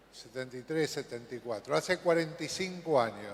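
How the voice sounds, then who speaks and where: A man's voice amid noticeable background noise. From Argentina, Buenos Aires. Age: 70s. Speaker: conference speaker. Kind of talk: conference talk.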